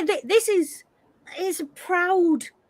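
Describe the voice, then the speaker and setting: A woman with a Hull accent and ordinary pitch variation. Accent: broad Hull Northern English, glottal stops. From Hull, northern England. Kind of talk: casual, conversational.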